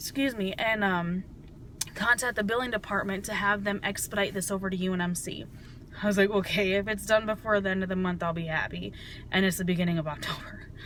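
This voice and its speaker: A woman at a very fast pace with fairly even intonation. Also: medium pitch for a woman. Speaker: vlogger. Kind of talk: personal video diary.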